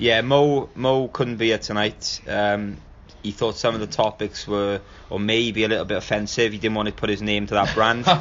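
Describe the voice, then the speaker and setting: A man with a South Wales Valleys accent, a fairly low pitch and fairly even intonation. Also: moderate pace. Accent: Welsh Valleys. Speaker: podcast host. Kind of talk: casual podcast talk.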